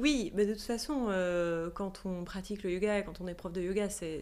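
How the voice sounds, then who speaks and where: Ordinary pitch variation is present. The speech moves at a moderate pace. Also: woman. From Switzerland. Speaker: yoga teacher. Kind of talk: interview. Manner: halting.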